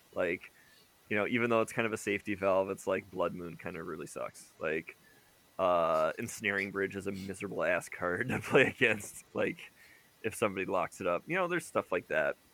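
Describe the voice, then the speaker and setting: Noticeable background noise runs behind a man speaking at a fairly quick pace. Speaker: podcast co-host. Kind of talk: casual chat.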